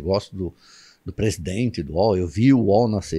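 A man's fairly low, dark, mellow voice at a moderate pace against a quiet background. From Brazil, São Paulo metro area (São Caetano); São Paulo, Brazil. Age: 60s. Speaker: journalist. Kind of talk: casual interview chat. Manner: animated. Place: studio. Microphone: studio mic.

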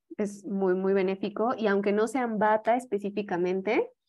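Speaking in a Mexican accent, a woman uses a medium pitch and fairly even intonation. Her pace is moderate and the background quiet. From Mexico. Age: young. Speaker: yoga teacher and holistic health advisor; presenter. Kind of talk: lecture. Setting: video call. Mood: calm, friendly explaining. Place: home room. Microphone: video call.

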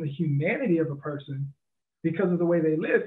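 A man speaks in a high pitch at a fairly quick pace. The background is quiet. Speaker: podcast co-host. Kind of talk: casual chat. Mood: thoughtful, earnest. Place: home room. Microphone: headset.

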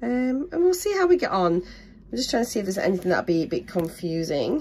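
Somewhat breathy and in a British accent, the speaker talks at a very fast pace with very wide pitch swings. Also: woman. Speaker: crafting YouTuber. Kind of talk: product unboxing. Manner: casual, hesitant with ums.

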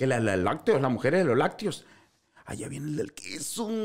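Over a quiet background, a man with a Sinaloan accent speaks in an animated tone at a fairly high pitch and a moderate pace, his pitch swinging very widely. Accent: Sinaloan Mexican Spanish. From Sinaloa, Mexico. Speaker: social media comedian. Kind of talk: casual chat. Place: studio. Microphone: studio mic.

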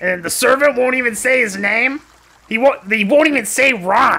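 In a put-on character voice, the speaker goes at a moderate pace with a fairly high pitch. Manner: rambling, casual, chatty.

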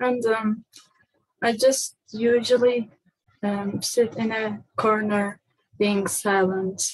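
A woman with a fairly high pitch, very slow and monotone with flat intonation, with long, frequent pauses, in a dry sound with no echo and a quiet background. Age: 20s. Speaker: person seeking personality typing. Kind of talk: personal testimony. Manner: halting, many fillers. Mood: quiet, hesitant, reflective. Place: home room. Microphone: webcam.

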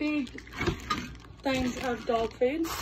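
Over noticeable background noise, a woman with a high voice speaks at a very slow pace with ordinary pitch variation. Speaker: vlogger. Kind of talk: casual talk to camera. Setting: home recording with microphone. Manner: projected, louder than before. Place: home room.

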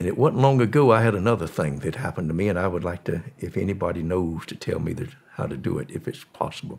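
A man with a Southern US accent talks at a very fast pace, with hardly any pauses. His very deep, low voice has lively intonation over noticeable background noise. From US South. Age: 80s+. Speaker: former drug smuggler. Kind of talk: storytelling interview.

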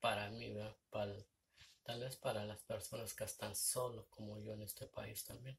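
At a moderate pace, a man speaks with a Mexican accent. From Mexico. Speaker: vlogger. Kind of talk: casual vlog monologue. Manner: halting. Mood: reflective, somewhat sad. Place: home room. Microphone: phone near.

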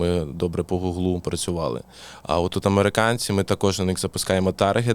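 At a fairly quick pace, a voice with a Russian accent keeps its loudness very even and its pitch variation ordinary, in a very clean recording with a silent background. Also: man, very deep, low pitch for a man. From southern Ukraine, Mykolaiv. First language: Russian (speaking Ukrainian). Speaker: boxing coach. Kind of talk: casual interview.

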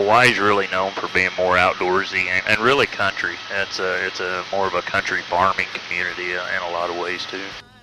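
Over noticeable background noise, a man speaks at a fairly quick pace in a monotone, flat intonation, the sound dry with no echo. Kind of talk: tour guide commentary. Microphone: headset.

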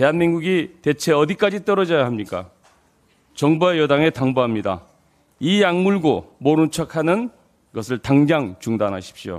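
Pitch swings very widely in this voice, at a moderate pace. The background is quiet. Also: man, fairly high pitch for a man. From South Korea. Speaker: politician. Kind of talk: prepared political speech. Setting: party leadership meeting. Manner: formal. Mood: critical, firm. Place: meeting room. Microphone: podium.

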